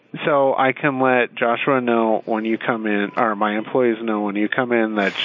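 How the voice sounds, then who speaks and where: A man speaks at a moderate pace in a medium pitch, with very even loudness and hardly any pauses. Background noise is noticeable. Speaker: store employee, call recipient. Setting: phone call.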